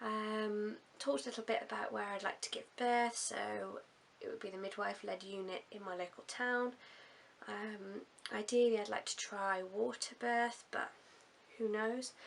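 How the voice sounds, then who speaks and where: A woman's fairly high voice in an English accent, at a moderate pace with long, frequent pauses, big swings in loudness and fairly even intonation. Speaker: vlogger. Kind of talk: video diary.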